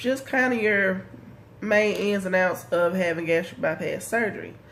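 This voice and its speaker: A woman speaks at a moderate pace and a medium pitch. Her pitch varies in an ordinary way, with audible room echo around her. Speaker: vlogger. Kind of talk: casual vlog update.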